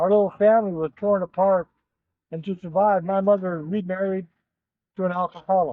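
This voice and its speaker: Speaking at a fairly quick pace with long, frequent pauses, a man keeps a high pitch in a flat monotone. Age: 70s. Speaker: recovering alcoholic and Marine veteran giving testimony. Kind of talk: testimony.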